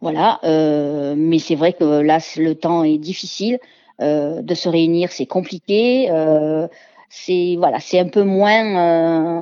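A woman talks at a very slow pace with a fairly low pitch. Her pitch variation is ordinary. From southern France, Ardèche and Marseille. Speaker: home cook and barbecue champion. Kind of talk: radio interview. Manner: hesitant, many fillers.

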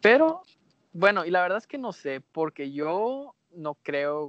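A man speaks at a very slow pace, with very wide pitch swings and big swings in loudness. The sound is dry and close, with no echo. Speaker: podcast co-host. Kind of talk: casual chat.

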